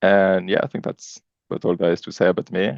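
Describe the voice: Vocal fry runs through this fairly quick delivery, which has ordinary pitch variation and a dry, close sound with no echo. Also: man, low pitch for a man.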